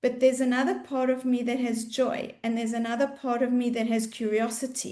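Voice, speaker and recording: A woman speaks in a South African accent with a high pitch. Her tone is dark and mellow. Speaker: mindfulness coach. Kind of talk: webinar presentation. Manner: slow.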